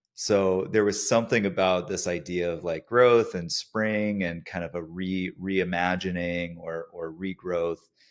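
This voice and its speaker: A man with an American accent speaks at a fairly slow pace in a very deep, low voice, with fairly even intonation and hardly any pauses. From United States. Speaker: podcast host, studio co-founder. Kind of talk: podcast interview.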